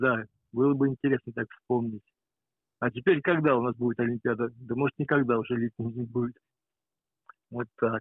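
The man talks at a moderate pace. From St. Petersburg, Russia. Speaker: caller. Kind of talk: casual chat. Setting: phone call.

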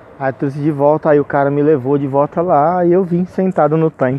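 Fairly high-pitched for a man, his voice moves with ordinary pitch variation over noticeable background noise. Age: 40s. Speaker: podcaster and rapper. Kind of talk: casual monologue. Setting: outdoors, walking on the street at night. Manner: laughing often.

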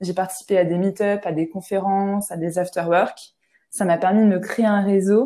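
A woman's medium-pitched voice, dark and mellow in tone, fairly slow, with monotone, flat intonation. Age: 20s. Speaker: business student and startup manager. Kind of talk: podcast interview testimony. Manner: hesitant, many fillers and repetitions.

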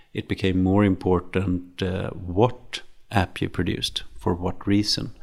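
A man with a Swedish accent speaks in a very deep, low voice at a moderate pace. His intonation is monotone and flat, and the recording is very clean with a silent background. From Sweden, Stockholm. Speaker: serial entrepreneur. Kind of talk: interview. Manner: halting.

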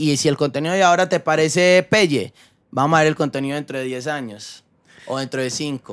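Using a plain, everyday voice, a man with a fairly high pitch talks at a fairly quick pace with ordinary pitch variation in a very clean recording with a silent background. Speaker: YouTuber and actor. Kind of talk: casual interview.

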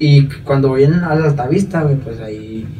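A man at a fairly high pitch and fairly slow pace, with audible room echo and noticeable background noise. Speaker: rapper. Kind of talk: casual chat.

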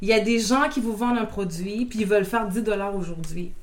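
A woman talks at a moderate pace in a fairly high pitch. Audible room echo and noticeable background noise surround her voice. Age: 20s. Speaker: property management entrepreneur. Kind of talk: interview.

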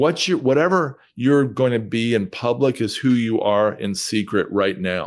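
Here is a man with an unremarkable speaking voice at medium pitch and lively intonation. He talks at a fairly slow pace with hardly any pauses, on a very clean recording with a silent background. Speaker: real estate investor. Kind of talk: interview.

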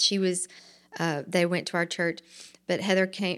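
Over a silent background in a very clean recording, a woman with an Alabama accent speaks at a moderate pace. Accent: Southern US (Alabama). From US South, Montgomery, Alabama. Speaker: actress and shop owner. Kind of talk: interview.

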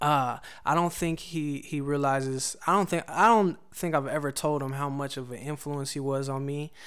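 A man speaks at a moderate pace in a plain, everyday voice, fairly high in pitch. His intonation stays fairly even, and the recording is very clean with a silent background. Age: 30s. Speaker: songwriter and music producer. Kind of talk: casual chat.

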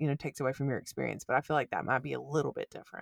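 A woman's very deep, low voice with vocal fry, in a dry, close sound with no echo. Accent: Alabama. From US South. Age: 20s. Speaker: podcast co-host. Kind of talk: casual chat.

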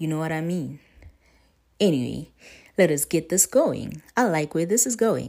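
A woman speaks at a moderate pace in a very deep, low, dark and mellow voice with vocal fry and lively intonation. She leaves long, frequent pauses, and the recording is very clean with a silent background. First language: not English. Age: 20s. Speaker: podcast host. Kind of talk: solo monologue on wellness. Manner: casual, conversational.

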